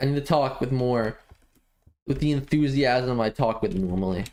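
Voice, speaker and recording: Delivered at a moderate pace, the speech stops often for long pauses. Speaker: gaming streamer. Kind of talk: live gameplay stream chat. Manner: hesitant, filler-heavy.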